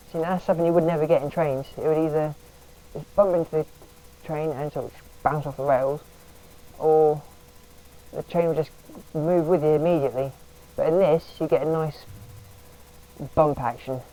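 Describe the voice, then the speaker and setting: The pace is fairly quick, broken by long, frequent pauses. Noticeable background noise runs underneath. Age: 20s. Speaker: train simulator content creator. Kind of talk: gameplay commentary. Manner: rambling, casual.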